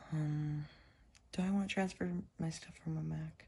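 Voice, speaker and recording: Somewhat breathy, this woman's voice sits at a very deep, low pitch with fairly even intonation. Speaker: tech YouTuber. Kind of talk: casual vlog narration. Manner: casual, halting.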